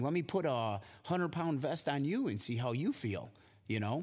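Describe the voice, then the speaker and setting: A man speaks in an ordinary speaking voice, his fairly high pitch carried by lively intonation. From US Midwest, near Chicago. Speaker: podcast co-host, gym owner and fitness trainer. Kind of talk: casual chat.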